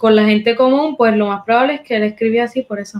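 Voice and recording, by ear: At a fast pace, a woman speaks in a fairly high pitch with ordinary pitch variation.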